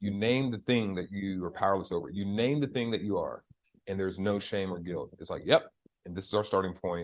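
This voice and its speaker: An ordinary speaking voice: a man with a fairly low pitch and an American accent, at a fairly quick pace with ordinary pitch variation. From United States. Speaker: facilitator and community organizer. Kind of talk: podcast conversation. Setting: live podcast recording with audience.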